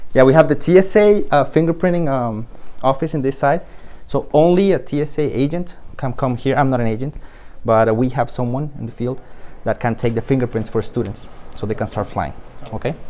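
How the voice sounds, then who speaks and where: A man talks at a fairly quick pace with a medium pitch. His pitch variation is ordinary. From Colombia. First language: Spanish. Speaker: flight school admissions staff and flight instructor. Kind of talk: guided tour. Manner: hesitant, many fillers.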